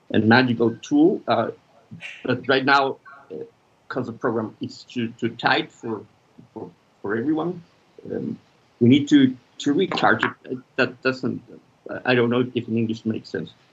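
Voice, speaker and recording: With a Spanish accent, the speaker uses ordinary pitch variation and leaves long, frequent pauses. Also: man, medium pitch for a man, moderate pace. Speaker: filmmaker and media practitioner. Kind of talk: conference talk. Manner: halting.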